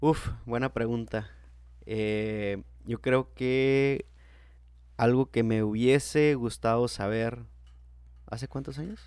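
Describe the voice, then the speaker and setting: At a very slow pace, a man speaks in a medium pitch with long, frequent pauses. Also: fairly even intonation. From Mexico, Baja California (Tijuana). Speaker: university lecturer and entrepreneur. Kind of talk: interview conversation.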